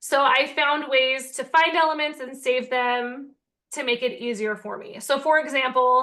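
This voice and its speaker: A woman's raised, projected voice, high-pitched with a bright, sharp tone, fairly slow against a quiet background. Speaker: teacher-author and online seller. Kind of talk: tutorial. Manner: animated.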